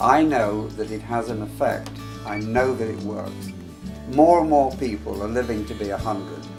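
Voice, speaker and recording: Music plays behind a man with a fairly low voice. He speaks at a moderate pace with lively intonation. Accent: English. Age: 80s+. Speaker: actor. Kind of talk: reflective talk to camera.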